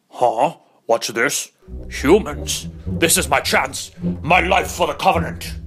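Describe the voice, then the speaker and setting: A man's put-on character voice, medium in pitch and fairly slow, with very wide pitch swings. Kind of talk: machinima comedy. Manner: solemn and proud, then sardonic.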